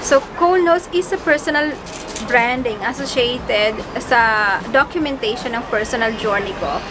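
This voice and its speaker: A woman's high voice, lively in intonation and fairly slow, against noticeable background noise. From Bicol, Philippines. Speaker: vlogger, single parent. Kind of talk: casual talk to camera. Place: home room. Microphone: phone near.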